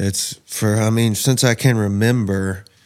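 Speaking in a Southern US accent, a man keeps his intonation fairly even. His pace is very slow. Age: 30s. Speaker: man in addiction recovery. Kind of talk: testimony.

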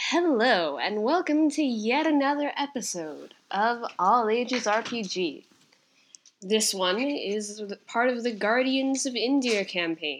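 A woman's fairly high voice, very slow in pace, with lively intonation. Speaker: podcast host. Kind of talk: podcast intro and outro.

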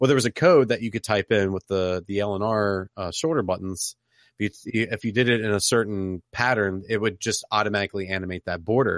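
A man speaks in a normal speaking voice, fairly low in pitch, at a fairly quick pace with ordinary pitch variation. The sound is dry and close with no echo against a quiet background. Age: 30s. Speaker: podcaster and Twitch streamer. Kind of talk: casual chat.

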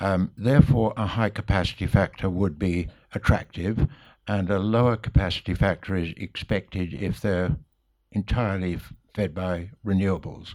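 Using a normal speaking voice, a man talks with fairly even intonation, a fairly low pitch and a moderate pace. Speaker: audience member asking questions. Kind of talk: audience Q&A.

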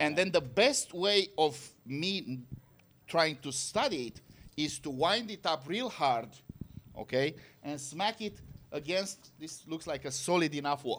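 The speaker has a Romanian accent and lively intonation. Long pauses come often. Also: man, fairly high pitch for a man, fairly slow pace. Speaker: physics professor.

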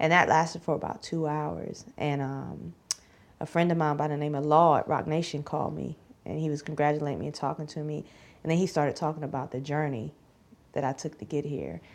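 A woman with a Southern US accent, very deep and low in pitch, flat and monotone at a fairly quick pace. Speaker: rapper. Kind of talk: casual interview chat.

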